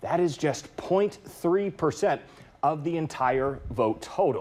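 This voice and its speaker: A man with an American accent has an ordinary speaking voice, fairly high pitched with ordinary pitch variation, moving at a fairly slow pace with big swings in loudness. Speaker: television news anchor. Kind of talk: TV news anchor delivery.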